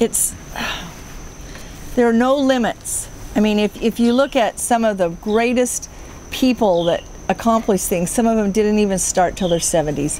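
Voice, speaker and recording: Against noticeable background noise, a woman speaks at a fairly high pitch. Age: 60s. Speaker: homesteading vlogger. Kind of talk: casual chat.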